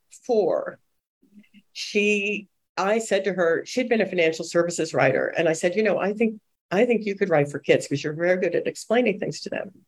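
A woman's normal speaking voice at a medium pitch, with an American accent, ordinary pitch variation and a moderate pace. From suburban Boston. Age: 60s. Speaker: children's book editor. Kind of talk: interview.

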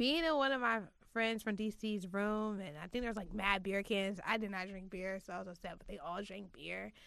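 Here is a woman with an ordinary speaking voice. She has a fairly high pitch and keeps a moderate pace. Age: 20s. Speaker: podcast host. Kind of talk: casual chat.

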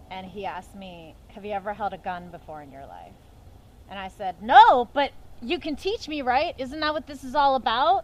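With an American accent, a woman talks at a moderate pace in a high voice, her pitch swinging very widely and her loudness rising and falling a lot. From western Pennsylvania, near Pittsburgh. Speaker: actress and filmmaker. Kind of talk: casual interview chat.

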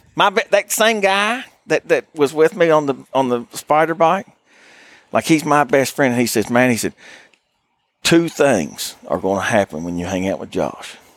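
With an Appalachian accent, the speaker's pitch swings very widely in a dry, close sound with no echo. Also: man, fairly high pitch for a man, moderate pace. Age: 40s. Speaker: hunting guide. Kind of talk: casual chat. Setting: outdoors.

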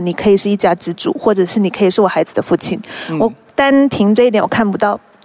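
A woman with a medium pitch speaks at a very fast pace with ordinary pitch variation. Noticeable background noise runs underneath. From Malaysia, Hokkien Chinese family. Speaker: actress. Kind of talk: casual chat.

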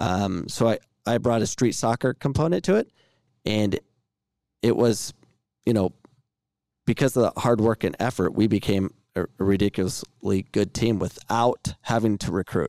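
A man of medium pitch with an American accent speaks at a moderate pace with long, frequent pauses and very even loudness. The recording is very clean, with a silent background and a dry, close sound with no echo. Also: ordinary pitch variation. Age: 40s. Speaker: podcast host. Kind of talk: interview. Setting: live show.

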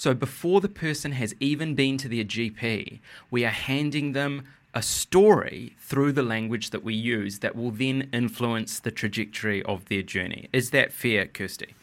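A man speaks in a medium pitch with ordinary pitch variation. His pace is moderate, and the recording is very clean with a silent background. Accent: New Zealand. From New Zealand. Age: 30s. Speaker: writer and TV journalist. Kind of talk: interview conversation.

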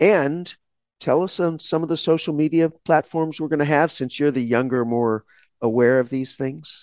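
At a moderate pace and with an American accent, a man speaks in a plain, everyday voice at a fairly high pitch, with ordinary pitch variation over a quiet background. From Texas, small town. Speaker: law school dean, podcast co-host. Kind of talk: casual chat.

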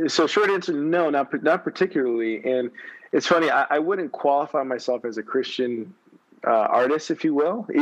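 This is an ordinary speaking voice, a man's, at a fairly high pitch. He moves at a fairly quick pace with lively intonation. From Texas, San Antonio. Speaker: singer-songwriter. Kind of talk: interview. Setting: audio app call from phone. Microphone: phone mic.

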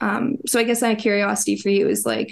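This speaker has a Canadian accent and keeps a moderate pace. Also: woman. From Canada, Toronto. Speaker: video essayist, interviewer. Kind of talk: interview questions. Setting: call.

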